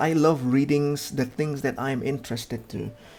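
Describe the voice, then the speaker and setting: At a moderate pace, a man of medium pitch talks with a non-native accent. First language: not English. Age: 30s. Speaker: gaming youtuber. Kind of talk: casual game review commentary.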